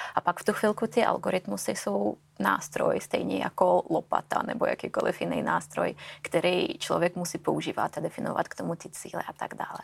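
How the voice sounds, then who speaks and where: With a Russian accent, a woman talks at a fairly quick pace in a dry, close sound with no echo, though noticeable background noise comes through. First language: Russian (speaking Czech). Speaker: AI specialist. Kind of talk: interview.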